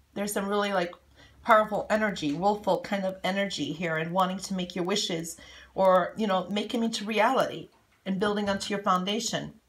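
A woman talks at a fairly quick pace with fairly even intonation. Her voice is somewhat breathy. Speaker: coffee cup reader. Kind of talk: intuitive reading, casual monologue. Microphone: phone near.

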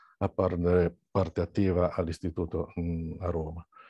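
Over a quiet background, a man with a very deep, low pitch and a dark, mellow tone speaks at a moderate pace in monotone, flat intonation, the sound dry and close with no echo. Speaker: teacher and local history association director. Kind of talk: seminar talk. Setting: video call.

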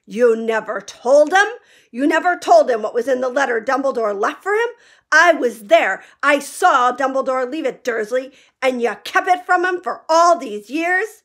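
Using a put-on character voice, a woman speaks at a high pitch and a moderate pace in a furious, shaky, raised and projected voice, captured on a very clean recording with a silent background. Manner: furious, trembling with rage.

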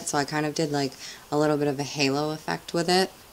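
A woman talks at a very fast pace in a very deep, low pitch with monotone, flat intonation. Her voice is quiet, with light background noise. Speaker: beauty vlogger. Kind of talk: casual talk to camera. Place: home room.

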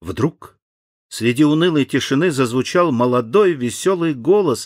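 A man talks at a fairly slow pace. The recording is very clean with a silent background, and the sound is dry and close with no echo. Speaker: actor reading an audiobook. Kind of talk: audiobook narration of a children's story.

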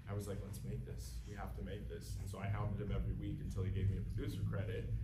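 This is a man talking. Background noise is noticeable throughout. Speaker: actor answering audience questions. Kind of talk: interview answer. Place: hall. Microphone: camera far.

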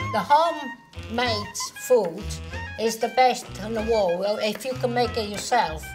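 A woman at a fairly slow pace over clear background music. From Italy, rural Lazio. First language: Italian. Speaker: grandmother home cook. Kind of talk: casual talk to camera in cooking ad. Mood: warm, cheerful. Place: kitchen.

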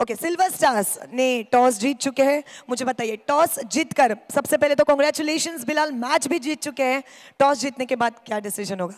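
High-pitched woman's voice with ordinary pitch variation. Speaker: match presenter and commentator. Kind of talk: live cricket commentary mixed with toss and award presentation. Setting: outdoors at a cricket ground.

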